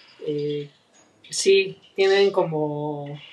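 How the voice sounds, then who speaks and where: His pitch moves in an ordinary way. The man talks with a Mexican accent. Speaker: podcast co-host, teacher. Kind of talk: casual chat.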